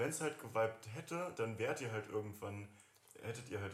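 A man speaks at a fairly quick pace in a medium pitch with ordinary pitch variation, and some room echo can be heard. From Germany, Göttingen. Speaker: school friend of host. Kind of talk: casual chat.

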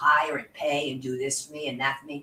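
Noticeable background noise surrounds a woman whose pitch is very deep and low. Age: 60s. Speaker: fitness instructor. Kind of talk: guided workout demonstration. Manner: instructional, encouraging.

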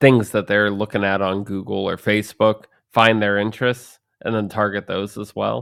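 A man's fairly low voice at a moderate pace, an unremarkable speaking voice, on a very clean recording with a silent background. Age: 30s. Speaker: podcast co-host. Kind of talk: casual chat.

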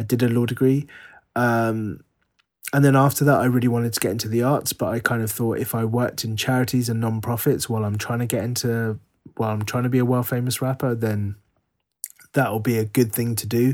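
A man with a London accent speaks at a fairly quick pace, medium in pitch, with monotone, flat intonation. The recording is very clean, with a silent background. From England, Harrow, northwest London. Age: 40s. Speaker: writer. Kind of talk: interview conversation.

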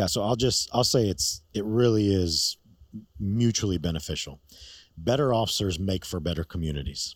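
An ordinary speaking voice: a man with an American accent, fairly low pitch, lively intonation and a moderate pace, on a very clean recording with a silent background. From New York.

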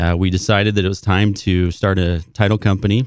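The recording is very clean, with a silent background. A man with an American accent and a very deep, low pitch talks at a fairly quick pace with fairly even intonation. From Southern Utah, St. George. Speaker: title company president. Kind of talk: radio interview.

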